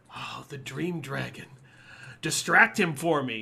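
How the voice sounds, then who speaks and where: A man puts on a character voice and talks at a fairly slow pace. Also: fairly high pitch for a man. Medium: actual play. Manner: sweetly sinister.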